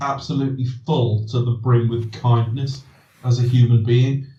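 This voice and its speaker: Somewhat breathy and dark, mellow in tone, a man speaks. Audible room echo is present. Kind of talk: casual podcast chat. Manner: soothing, soporific.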